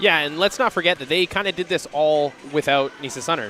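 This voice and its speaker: A man speaks with music playing in the background. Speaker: basketball play-by-play commentator. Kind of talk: live sports commentary. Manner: loud.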